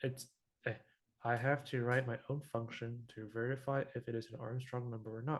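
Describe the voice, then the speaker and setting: Somewhat breathy, a man with a non-native accent speaks at a moderate pace and medium pitch in a flat, monotone way. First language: not English. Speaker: teaching assistant. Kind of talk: tutorial. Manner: halting.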